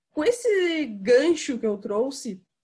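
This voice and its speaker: A woman's lively intonation carries her fairly slow speech. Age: 20s. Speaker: podcast host. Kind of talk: casual chat.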